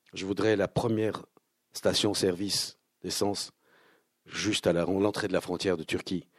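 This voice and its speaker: A man speaks at a fairly slow pace with a fairly low pitch, flat monotone intonation and long, frequent pauses against a quiet background. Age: 60s. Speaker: actor and filmmaker. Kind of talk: book talk with audience. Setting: bookshop event with audience.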